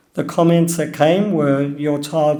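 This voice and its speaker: The voice carries an Australian accent and a dark, mellow tone. It speaks in a flat monotone, with audible room echo. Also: man. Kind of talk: personal talk.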